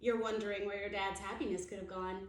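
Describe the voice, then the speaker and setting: A woman uses a put-on character voice at a medium pitch. There is a slight echo. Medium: read story.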